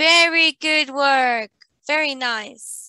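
A woman's raised, projected voice, bright and sharp in tone, moves at a very slow pace with ordinary pitch variation, the sound dry with no echo against a quiet background. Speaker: online English teacher. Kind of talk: online English lesson. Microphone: video call.

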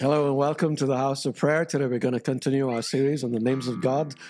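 A man speaks with fairly even intonation. Music plays in the background. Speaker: prayer session host. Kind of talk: sermon. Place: home room. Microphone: studio mic.

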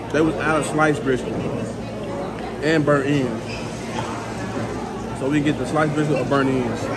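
Crowd noise fills the background as a man talks at a fairly slow pace. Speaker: food vlogger. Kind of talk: casual vlog chat. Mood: relaxed, pleased. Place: cafe. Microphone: phone near.

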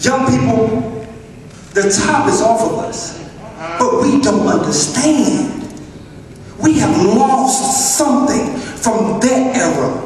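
A man speaks very slowly at an extremely high pitch, with long, frequent pauses. The recording has strong room echo and light background noise. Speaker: church speaker delivering a spoken word message. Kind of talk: preaching, spoken word sermon to a congregation. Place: church.

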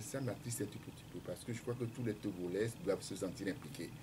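With lively intonation, a man talks over noticeable background noise. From Togo, Lacs prefecture; Togo. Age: 60s. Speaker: presidential candidate, economist; candidate. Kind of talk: radio interview. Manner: hesitant, many fillers. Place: studio. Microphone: studio mic.

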